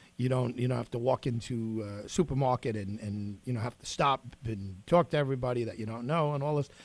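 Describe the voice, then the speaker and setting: A man uses an unremarkable speaking voice at medium pitch with ordinary pitch variation. He talks at a fairly quick pace with hardly any pauses and big swings in loudness. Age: 40s. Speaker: radio host. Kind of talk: radio interview.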